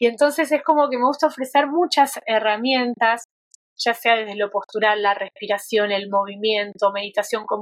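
Woman at a moderate pace, an unremarkable speaking voice, fairly high in pitch with ordinary pitch variation, dry and close with no echo. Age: 40s. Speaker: yoga therapist. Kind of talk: interview conversation.

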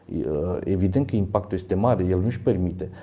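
The man's dark, mellow voice moves at a fairly quick pace. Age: 50s. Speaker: fitness athlete and university lecturer. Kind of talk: interview.

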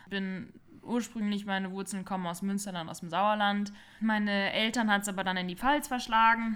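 A woman's normal speaking voice, medium in pitch, at a moderate pace with fairly even intonation. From Palatinate, Germany. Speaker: co-host, winery worker. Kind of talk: casual chat. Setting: living room.

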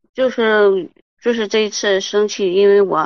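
This is a woman speaking. Her intonation is fairly even. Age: 30s. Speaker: caller seeking marriage advice. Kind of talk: call-in advice conversation. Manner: halting, many fillers.

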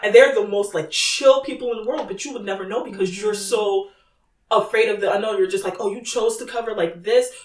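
A woman talks fairly quickly in a normal speaking voice with a fairly high pitch. Her pitch varies in an ordinary way, while her loudness swings widely. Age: 20s. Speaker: guest. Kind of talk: casual chat.

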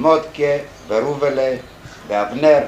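Amid noticeable background noise and audible room echo, a man speaks at a very slow pace with a fairly high pitch. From Greece, Thessaloniki. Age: 50s. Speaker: Holocaust survivor, kibbutz beekeeper. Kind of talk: testimony.

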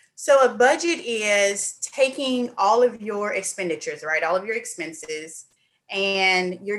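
Speaking with a Southern US accent, a woman goes at a fairly slow pace with ordinary pitch variation. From Mississippi. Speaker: accountant. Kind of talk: casual interview.

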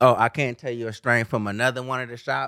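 A man speaks in an American accent with fairly even intonation. The recording is very clean and dry, close-miked with a silent background and no echo. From California. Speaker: podcast co-host. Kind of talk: casual chat.

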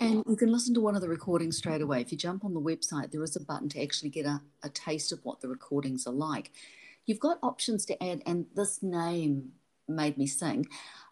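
Her pitch fairly low yet swinging very widely, a woman talks at a fairly quick pace in a very clean recording with a silent background. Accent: New Zealand. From New Zealand. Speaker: podcast host. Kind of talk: casual interview.

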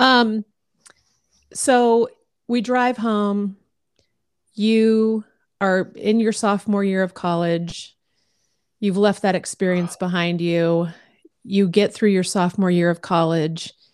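On a very clean recording with a silent background, a woman with an American accent speaks at medium pitch and a very slow pace, with fairly even intonation and long, frequent pauses. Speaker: podcast host. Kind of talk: casual chat.

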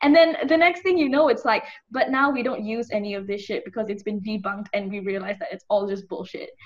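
A woman talks at a very fast pace with a fairly high pitch, lively intonation and hardly any pauses. Her somewhat breathy voice swings widely in loudness. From Malaysia. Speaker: psychology student. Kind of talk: casual chat. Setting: video call.

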